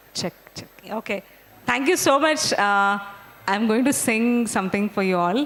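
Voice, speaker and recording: A woman with a Marathi accent speaks at a moderate pace and fairly high pitch. Her intonation is lively, broken by long, frequent pauses. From India, Bangalore. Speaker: invited guest speaker. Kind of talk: casual talk to students.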